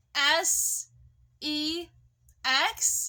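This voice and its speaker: In a raised, projected voice, a woman speaks at an extremely high pitch with a bright, sharp tone and fairly even intonation. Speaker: vlogger. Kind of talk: casual storytelling vlog. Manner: casual, profane.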